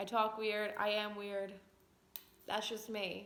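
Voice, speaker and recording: In an American accent, a woman talks at a fairly slow pace. Her pitch is fairly high, and the room echo is audible. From Long Island, New York. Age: 20s. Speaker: vlogger. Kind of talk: casual personal vlog talk. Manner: conversational, frequent fillers.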